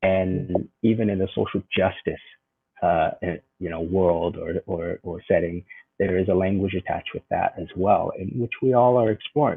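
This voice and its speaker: A man with a Californian accent talks at a moderate pace. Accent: Californian American English. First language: Vietnamese. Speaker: educator and spoken word artist. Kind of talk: interview conversation.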